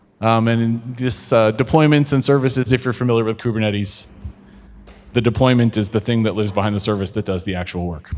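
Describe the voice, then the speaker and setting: Very fast speech from a man, his pitch varying in an ordinary way. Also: medium pitch for a man. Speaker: customer success engineer giving a tech talk. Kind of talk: conference talk with live demo. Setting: meetup with live audience.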